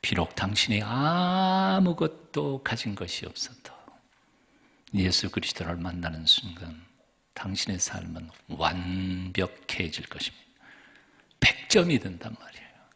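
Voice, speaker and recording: A man with a very deep, low pitch speaks at a very slow pace, with lively intonation and big swings in loudness. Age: 60s. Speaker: pastor. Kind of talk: sermon. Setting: church.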